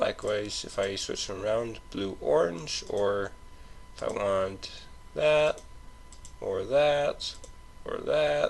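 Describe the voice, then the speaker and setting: A man at a very slow pace with long, frequent pauses, against noticeable background noise. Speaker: gaming let's play host. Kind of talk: casual gameplay commentary. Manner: stuttering, hesitant.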